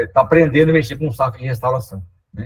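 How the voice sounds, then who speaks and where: Speaking at a very fast pace, a man with a medium-pitched voice sounds somewhat breathy. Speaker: environmental restoration technician. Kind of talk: webinar presentation. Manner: hesitant, many fillers.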